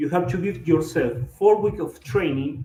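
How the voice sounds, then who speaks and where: A man's fairly high voice with a Latin American accent, a dark, mellow tone and ordinary pitch variation. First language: Spanish. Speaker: triathlon and swimming coach. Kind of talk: lecture. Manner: halting.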